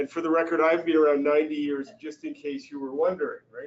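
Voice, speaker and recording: A man speaks very fast in a Canadian accent. His fairly high voice holds a fairly even intonation. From Canada. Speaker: real estate marketing speaker. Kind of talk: seminar talk.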